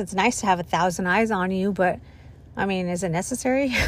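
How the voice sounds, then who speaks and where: A woman speaks in a plain, everyday voice at a fairly quick pace, with a medium pitch and ordinary pitch variation. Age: 30s. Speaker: podcast host, school worker. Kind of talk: casual solo chat. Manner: casual, filler-heavy.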